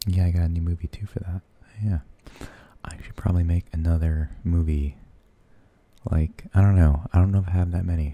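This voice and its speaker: Soft-spoken and somewhat breathy, a man with a very deep, low pitch and dark, mellow tone speaks at a fairly quick pace in a monotone, flat intonation, the sound dry with no echo. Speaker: vlogger. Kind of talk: casual vlog chat, movie review. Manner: soft, hushed close-mic rambling. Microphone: studio mic.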